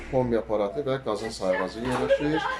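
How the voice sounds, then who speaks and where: At a moderate pace and medium pitch, a man speaks amid noticeable background noise and audible room echo. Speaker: real estate agent. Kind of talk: property tour video.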